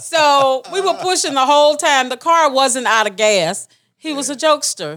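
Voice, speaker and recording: A woman with a Southern US accent speaks in a bright, sharp tone on a very clean recording with a silent background. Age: 60s. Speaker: family member. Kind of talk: storytelling.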